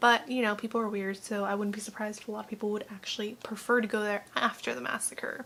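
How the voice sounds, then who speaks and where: A quiet woman talks at a fairly quick pace. Her fairly high pitch stays monotone and flat. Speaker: youtube reaction host. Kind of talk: casual reaction commentary. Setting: at home, mother in next room. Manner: quiet, low volume.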